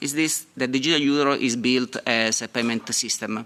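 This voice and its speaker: A man talks with fairly even intonation, and noticeable background noise can be heard. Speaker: software engineer and fintech entrepreneur. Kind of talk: panel talk. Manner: halting, many fillers.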